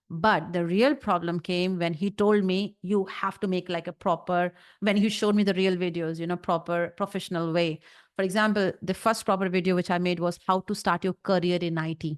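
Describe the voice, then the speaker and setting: Speaking at a fairly quick pace against a quiet background, a woman with an Indian accent keeps a medium pitch and fairly even intonation. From North India. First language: Hindi. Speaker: YouTube content creator. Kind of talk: interview.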